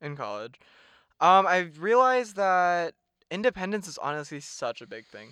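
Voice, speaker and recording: Bright and sharp in tone, a man with a high pitch speaks at a moderate pace with lively intonation and big swings in loudness, on a very clean recording with a silent background. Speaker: podcast co-host, college student. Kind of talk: casual chat. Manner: laughs often, casual.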